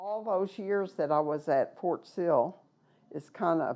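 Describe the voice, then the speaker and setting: A woman with an American accent, fairly low in pitch, with ordinary pitch variation and a very slow pace. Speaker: boarding school survivor. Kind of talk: testimony.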